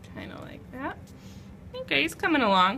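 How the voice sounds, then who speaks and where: A woman uses a raised, projected voice at a high pitch. Her pitch swings very widely as she speaks at a moderate pace. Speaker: art teacher. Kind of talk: tutorial.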